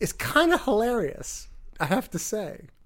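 A man at a fairly slow pace, his pitch swinging very widely. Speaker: podcast co-host. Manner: snarky, joking.

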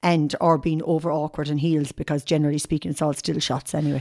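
Someone with an Irish accent talks at a very fast pace on a very clean recording with a silent background. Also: woman. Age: 50s. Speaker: model agency owner and fashion stylist. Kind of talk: casual interview. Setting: at her home.

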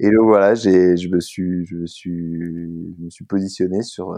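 Against a quiet background, the dark, mellow tone of a man. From Brittany, France. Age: 30s. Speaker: eco-adventurer, endurance athlete. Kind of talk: interview. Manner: halting, many fillers and repetitions.

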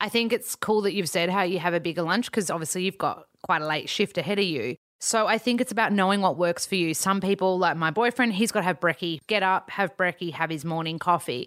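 In an Australian accent, a woman speaks at medium pitch with ordinary pitch variation, at a very fast pace with hardly any pauses, in a very clean recording with a silent background and a dry, close sound with no echo. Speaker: nutritionist. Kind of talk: casual chat.

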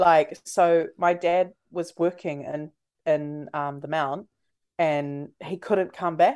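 A woman with a New Zealand accent speaks at a very slow pace. Her pitch is fairly low. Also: fairly even intonation. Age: 20s. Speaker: breakfast radio host. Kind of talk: casual interview chat.

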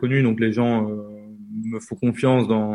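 This man's medium-pitched voice holds a monotone, flat intonation. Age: 20s. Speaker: train YouTuber and author. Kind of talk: interview. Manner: halting.

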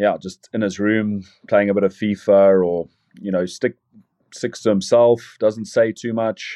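A man with a South African accent talks at a fairly slow pace in a dark, mellow tone, with fairly low pitch and monotone, flat intonation. The sound is dry and close with no echo, and the background is quiet. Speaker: rugby player. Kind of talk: casual interview chat. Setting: video call, in team camp in Rome.

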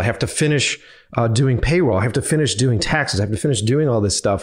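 Talking very fast with an American accent, a man at a medium pitch sounds somewhat breathy, his pitch swinging very widely. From Boston, US. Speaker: filmmaker. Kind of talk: casual chat. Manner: animated.

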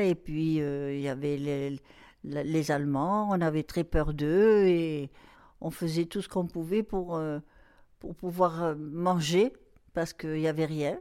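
A woman's very deep, low voice at a very slow pace, ordinary pitch variation, on a very clean recording with a silent background. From southern France, Marseille. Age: 80s+. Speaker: grandmother sharing memories. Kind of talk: casual interview, reminiscing. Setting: at home, echoey large room. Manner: halting, with many hesitations.

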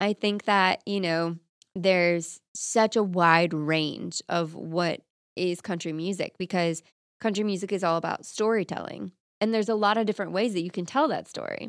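In an American accent, a woman speaks in an unremarkable speaking voice at medium pitch and moderate pace, her intonation fairly even, on a very clean, dry, close recording with no echo and a silent background. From Florida. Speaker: country singer. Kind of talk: interview.

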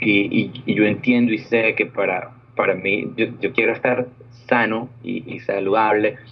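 A man's fairly low voice at a moderate pace. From Venezuela. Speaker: diabetes nonprofit president. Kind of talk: interview. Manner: halting, with fillers and repetitions.

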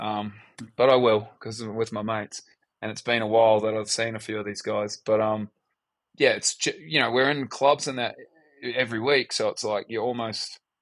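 A man with a New Zealand accent talks at a medium pitch and a moderate pace, with fairly even intonation over a quiet background. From New Zealand, Upper Hutt. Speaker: DJ and music producer. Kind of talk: casual interview.

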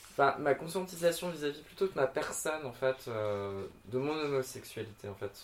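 Noticeable background noise sits behind a man with a fairly high pitch. His intonation is lively and his pace moderate. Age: 30s. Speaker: drag queen. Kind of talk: casual chat. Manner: hesitant, many fillers.

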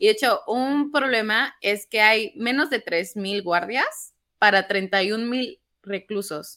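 Delivered at a very slow pace, the voice has a bright, sharp tone and lively intonation, in a very clean recording with a silent background. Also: woman, fairly high pitch for a woman. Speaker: news podcast co-host. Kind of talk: casual news discussion.

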